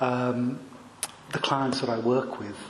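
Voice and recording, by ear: A soft-spoken man at medium pitch, with little pitch movement, a slow pace and audible room echo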